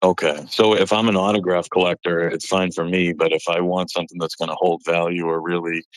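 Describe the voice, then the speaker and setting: In an American accent, a man with a very deep, low pitch talks at a fairly quick pace, his intonation monotone and flat. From north of Boston, Massachusetts. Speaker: card collector caller. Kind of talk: phone-in question. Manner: calm, cool-tempered.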